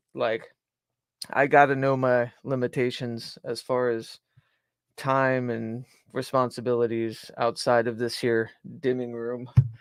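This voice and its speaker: Very clean and silent in the background, the recording captures a man. He speaks at medium pitch with an American accent. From US South. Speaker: broadcaster and podcaster. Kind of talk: casual commentary on a replayed podcast. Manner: frequent fillers and disfluencies.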